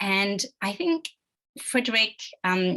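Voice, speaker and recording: A woman's medium-pitched voice with a French accent. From France. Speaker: webinar moderator. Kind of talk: panel moderation.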